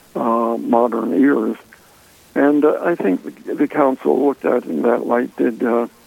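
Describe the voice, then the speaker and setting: A man with an American accent speaks at a fairly slow pace. Background noise is noticeable. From Washington, D.C. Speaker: author. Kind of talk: radio interview. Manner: halting.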